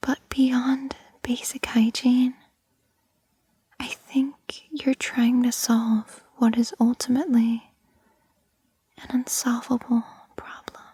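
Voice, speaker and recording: A woman whispers at a very slow pace with long, frequent pauses and big swings in loudness, in a dry, close sound with no echo. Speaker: ASMR creator. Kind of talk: ASMR girlfriend roleplay. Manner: whispered.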